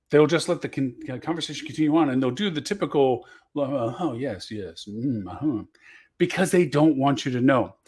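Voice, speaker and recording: Fairly high in pitch, a man speaks at a fairly quick pace with lively intonation in a very clean recording with a silent background. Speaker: marketing show host. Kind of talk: solo talk show monologue. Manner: fast; passionate, animated.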